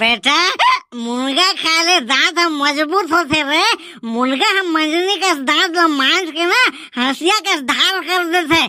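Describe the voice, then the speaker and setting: The speaker uses a cartoonish character voice at an extremely high pitch. The pace is fairly slow. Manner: loud, joking.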